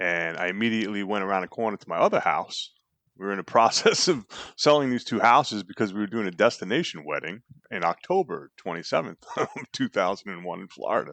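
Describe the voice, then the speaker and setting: A man at a very fast pace, big swings in loudness, dry, close sound with no echo. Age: 60s. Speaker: entrepreneur and speaker, 9/11 volunteer. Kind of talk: interview testimony.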